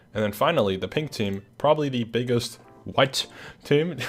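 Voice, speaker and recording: With music in the background, a man speaks at a medium pitch and a fairly slow pace, his pitch varying in an ordinary way. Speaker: gaming content creator. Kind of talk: casual video commentary. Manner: hesitant, many fillers.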